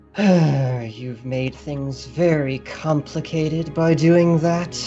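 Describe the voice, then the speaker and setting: A booming, put-on character voice sits at a low-to-middle pitch and moves at a very slow pace. Music is clearly heard in the background. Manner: commanding, weary.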